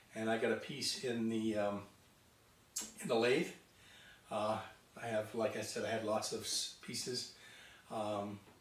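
The fairly slow speech comes with audible room echo and light background noise. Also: man. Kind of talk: casual workshop vlog chat. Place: workshop. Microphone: camera far.

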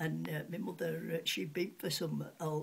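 A woman with a Yorkshire accent speaks at a fairly low pitch with vocal fry. Her pace is fairly slow, her intonation fairly even, and there is light background noise. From Sheffield, England. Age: 80s+. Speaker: retired cutlery polisher. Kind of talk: interview answer. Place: home room. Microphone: webcam.

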